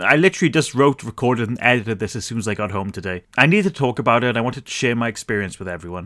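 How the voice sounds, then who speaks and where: Very fast speech comes from a man at a medium pitch with very wide pitch swings. The recording is very clean, with a silent background. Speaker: movie reviewer. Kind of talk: casual review. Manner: mushy articulation.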